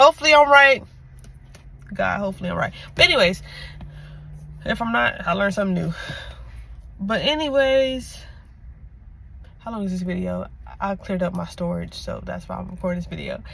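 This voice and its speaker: A woman talks at a fairly quick pace with big swings in loudness and long, frequent pauses. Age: 20s. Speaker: lifestyle vlogger. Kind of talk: casual vlog monologue. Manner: fast; halting, self-correcting.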